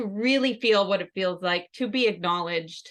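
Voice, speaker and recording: Against a quiet background, a woman talks at a moderate pace, her fairly high voice showing ordinary pitch variation. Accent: Northern Minnesota. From Northern Minnesota. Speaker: health and life coach for caregivers. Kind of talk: conference presentation.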